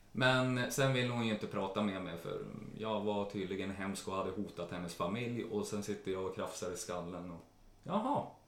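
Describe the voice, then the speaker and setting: A man's fairly low voice at a moderate pace, with fairly even intonation and audible room echo. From Sweden, Jämtland. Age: 30s. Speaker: care worker. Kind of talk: interview.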